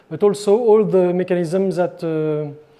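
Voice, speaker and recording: A man speaks with a French accent at a high pitch. Noticeable background noise sits behind him. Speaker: board game designer. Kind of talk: interview answer.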